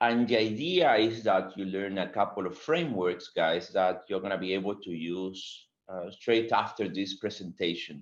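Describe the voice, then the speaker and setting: A man speaks at a moderate pace in a fairly low voice, with ordinary pitch variation over a quiet background. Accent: Spanish. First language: Spanish. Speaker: agile consultant and webinar speaker. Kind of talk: webinar presentation.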